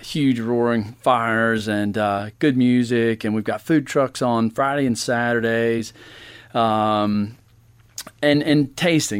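A man with an American accent speaks at a medium pitch and a fairly slow pace. It is an ordinary speaking voice with fairly even intonation. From Georgia (US). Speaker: winery owner. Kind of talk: interview.

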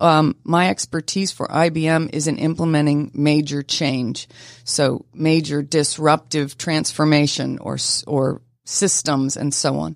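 A woman's very deep, low voice at a fairly slow pace, fairly even in intonation, on a very clean recording with a silent background. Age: 60s. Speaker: kidney donor and corporate employee. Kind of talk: radio interview. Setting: studio.

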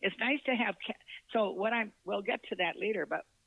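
A woman's voice with vocal fry and an American accent, at a moderate pace. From northern Minnesota. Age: 80s. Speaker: author and retired corporate employee. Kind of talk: casual interview chat.

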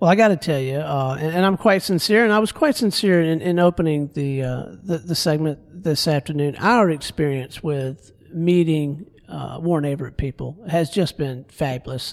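With an American accent, a man speaks at a moderate pace in an unremarkable speaking voice. His pitch is fairly high, with ordinary pitch variation. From Florida Panhandle. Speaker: radio host. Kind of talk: radio interview. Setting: radio studio.

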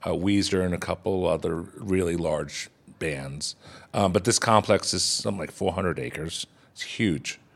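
In a very clean recording with a silent background, a man with an American accent speaks at a moderate pace with a very deep, low pitch, ordinary pitch variation and vocal fry. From Texas. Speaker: chef. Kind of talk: interview.

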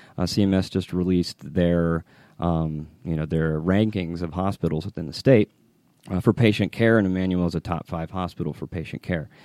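Dry and close with no echo, this very clean recording with a silent background captures a man with an American accent whose very deep, low voice has a dark, mellow tone and fairly even intonation. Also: moderate pace. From US South, Atlanta area (Dunwoody). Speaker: healthcare tech executive. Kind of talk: radio interview.

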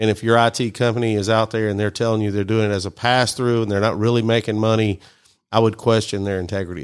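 A man with a Mississippi accent talks very fast in a fairly low, flat monotone, his loudness swinging widely. The recording is very clean with a silent background. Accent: Southern US (Mississippi). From US South. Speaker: IT company CEO. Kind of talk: radio interview. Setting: studio.

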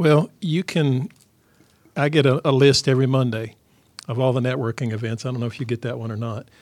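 In an unremarkable speaking voice, a man talks at a fairly quick pace and medium pitch with ordinary pitch variation, on a very clean recording with a silent background. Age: 50s. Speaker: business chamber founder. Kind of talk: radio interview. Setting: radio studio.

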